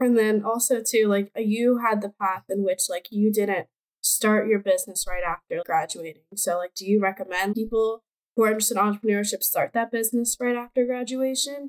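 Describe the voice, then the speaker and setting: In an ordinary speaking voice, a woman talks fairly quickly at a fairly high pitch with fairly even intonation, the sound dry and close with no echo. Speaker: university student. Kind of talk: interview.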